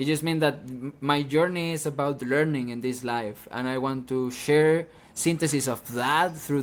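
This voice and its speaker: A man with a Venezuelan accent speaks at a moderate pace in a medium pitch, his intonation fairly even and his speech hardly broken by pauses. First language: Spanish. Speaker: independent musician. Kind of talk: interview. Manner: halting, with repeated false starts.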